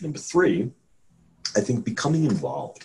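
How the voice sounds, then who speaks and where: A man speaks in a somewhat breathy voice. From New York City. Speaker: neuroscientist and professor. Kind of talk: interview. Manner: articulate with frequent fillers and repetitions.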